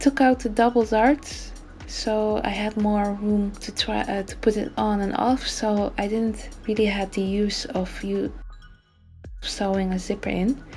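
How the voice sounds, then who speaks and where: A woman speaks with a non-native accent at a fairly high pitch. Her intonation is fairly even, with music in the background. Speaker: sewing hobbyist. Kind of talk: tutorial voice-over.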